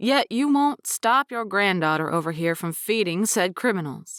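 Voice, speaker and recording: A woman's gruff, put-on character voice at a medium pitch, with very wide pitch swings and a moderate pace. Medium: read story. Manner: gruff, blustery.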